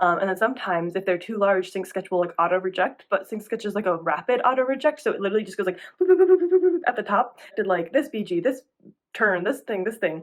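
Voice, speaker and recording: A woman talks very fast at a medium pitch, her intonation lively. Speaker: animation production assistant, vlogger. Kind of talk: casual vlog.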